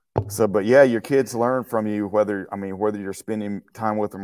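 A man with a Texan accent speaks at a moderate pace and a fairly low pitch, with ordinary pitch variation. His loudness swings widely, and he hardly pauses. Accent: Southern US, Texan. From Texas. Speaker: martial arts instructor. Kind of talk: casual interview chat. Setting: video call.

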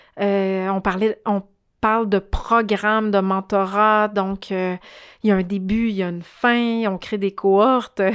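Monotone, flat intonation and a very slow pace come through on a very clean recording with a silent background. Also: woman, medium pitch for a woman. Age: 40s. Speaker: social entrepreneur. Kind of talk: interview.

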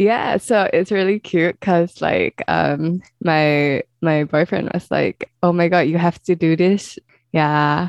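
The speaker has a Singaporean accent and talks at a very slow pace. The sound is dry and close, with no echo. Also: woman, fairly low pitch for a woman. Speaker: true crime podcast host. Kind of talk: casual chat. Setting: remote call. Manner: animated.

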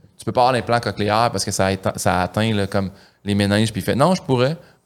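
At a fairly quick pace, a man speaks with medium pitch and ordinary pitch variation. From Quebec, Saint-Hyacinthe. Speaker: comedian. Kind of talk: casual chat.

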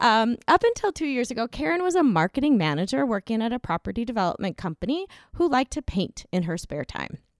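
A woman's fairly high voice in a General American accent, very fast, with very wide pitch swings, a dry, close sound with no echo, and a very clean recording with a silent background. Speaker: podcast co-host and author. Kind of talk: casual interview chat.

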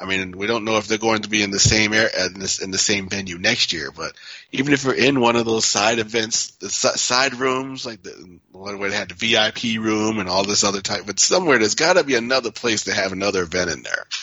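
In a fairly low voice with ordinary pitch variation, a man with an unremarkable speaking voice talks at a fairly quick pace. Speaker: pinball industry figure. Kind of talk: casual chat.

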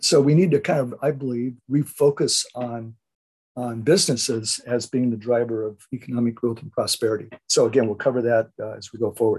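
A somewhat breathy man of medium pitch talks at a fairly quick pace. His pitch varies in an ordinary way while his loudness swings a lot. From Southern California. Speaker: investment newsletter host. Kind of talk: solo radio commentary. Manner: halting, many fillers.

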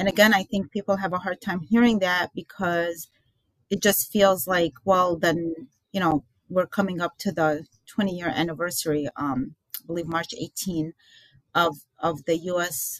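A woman with a normal speaking voice talks at a fairly low pitch and a fairly slow pace, with ordinary pitch variation. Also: dry, close sound with no echo. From Iraq (Baghdad), moved to the US as a child. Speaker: author and filmmaker. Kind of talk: interview.

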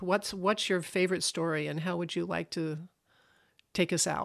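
A woman talks in a plain, everyday voice at a medium pitch. Her pace is moderate and her pitch variation ordinary. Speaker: minister and podcast host. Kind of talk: interview chat.

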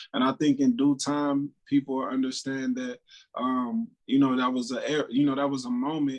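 A normal speaking voice moves at a moderate pace. The intonation is fairly even. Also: man, medium pitch for a man. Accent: American. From Dayton, Ohio. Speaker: rapper. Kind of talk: interview. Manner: casual, laid-back.

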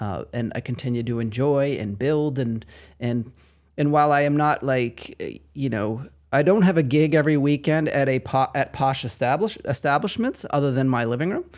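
In a very clean recording with a silent background, a man with a Maine accent and a fairly high voice talks at a moderate pace with ordinary pitch variation. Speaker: patient experience coordinator. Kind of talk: casual interview.

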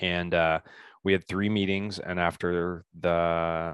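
A man with a Midwestern US accent speaks in a very deep, low pitch with fairly even intonation, his sound dry and close with no echo against a quiet background. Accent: US Midwest. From Indiana. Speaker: business coach and keynote speaker. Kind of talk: interview.

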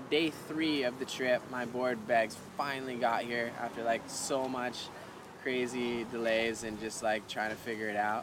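With a Hawaiian accent, a man speaks at a fairly slow pace and medium pitch. His intonation is fairly even, and noticeable background noise is present. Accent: Hawaiian American English. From Hawaii, Kauai. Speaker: professional bodyboarder and cafe owner. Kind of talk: casual interview chat. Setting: outdoor cafe.

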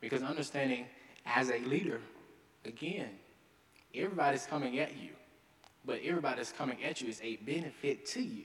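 Talking at a very fast pace with a Southern US accent, a man uses a fairly high pitch and leaves long, frequent pauses. Noticeable background noise and audible room echo fill the recording. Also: ordinary pitch variation. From Arkansas. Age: young. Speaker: mayor. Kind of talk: speech. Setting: stage with audience.

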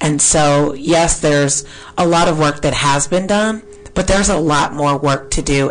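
A woman's voice with ordinary pitch variation over music in the background. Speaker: radio host. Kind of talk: radio interview. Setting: studio.

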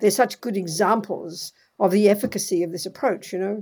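A woman with an unremarkable speaking voice talks at a moderate pace and medium pitch with ordinary pitch variation, on a very clean recording with a silent background. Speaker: Buddhist nun and teacher. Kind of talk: interview. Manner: direct, forthright.

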